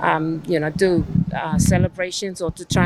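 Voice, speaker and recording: Noticeable background noise is present while a woman talks at a moderate pace. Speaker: Zumba group member. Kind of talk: interview.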